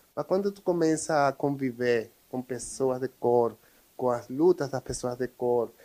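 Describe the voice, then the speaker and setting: Speaking with a Spanish accent at a fairly slow pace, a man shows ordinary pitch variation. The sound is dry and close with no echo, on a very clean recording with a silent background. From Venezuela. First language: Spanish (speaking Portuguese). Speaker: social educator. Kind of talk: interview.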